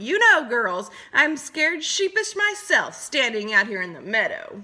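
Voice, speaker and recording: Put-on character voice from a woman, high in pitch, very wide pitch swings, moderate pace. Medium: read story. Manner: affected, old-fashioned genteel.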